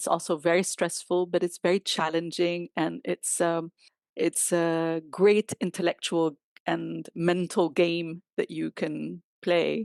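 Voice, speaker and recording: A woman with an Arabic accent, very slow pace and monotone, flat intonation, in a dry, close sound with no echo and a quiet background. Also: fairly low pitch for a woman. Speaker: chief interpreter. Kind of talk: interview.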